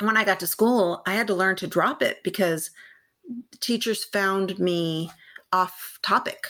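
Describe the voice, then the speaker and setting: Bright and sharp in tone, a woman speaks at medium pitch with ordinary pitch variation and a Californian accent. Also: fairly slow pace. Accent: Californian American English. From Southern California, San Gabriel Valley. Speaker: science educator and researcher. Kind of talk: interview conversation.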